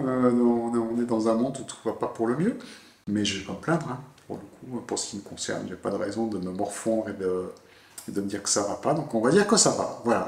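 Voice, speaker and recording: A man speaks at a moderate pace, his loudness swinging widely. Audible room echo and noticeable background noise are present. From southwest France (Bordeaux). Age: 50s. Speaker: tourism office director. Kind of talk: interview. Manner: hesitant, many fillers.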